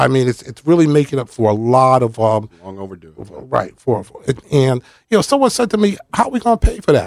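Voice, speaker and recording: A man at a medium pitch speaks with very wide pitch swings and big swings in loudness, in a dry, close sound with no echo. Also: fairly quick pace. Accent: American. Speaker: retired firefighter and commissioner. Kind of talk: casual interview chat. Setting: radio studio.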